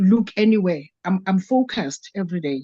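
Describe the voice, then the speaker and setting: This woman has a medium pitch and a dark, mellow tone, with ordinary pitch variation. The sound is dry and close, with no echo. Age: 60s. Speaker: network marketing participant. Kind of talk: testimony. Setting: video call. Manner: halting.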